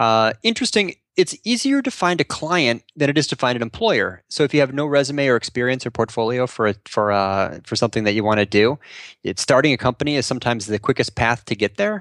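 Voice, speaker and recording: Very fast, lively speech in a Chicago accent, with a dry, close sound and no echo. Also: man, medium pitch for a man. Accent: Chicago-area American. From US Midwest, Chicago suburbs. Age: 40s. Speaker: content marketing strategist. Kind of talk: interview conversation.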